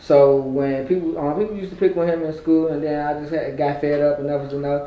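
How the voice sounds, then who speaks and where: Speaking very fast with fairly even intonation, a man with a fairly high pitch is heard amid audible room echo and noticeable background noise. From Richmond, Virginia (north side). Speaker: podcast guest, social media personality. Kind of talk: casual interview.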